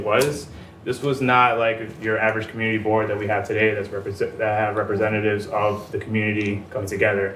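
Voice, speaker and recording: A man speaks very fast at a medium pitch, his intonation fairly even, with audible room echo and noticeable background noise. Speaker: graduate student panelist. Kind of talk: conference presentation.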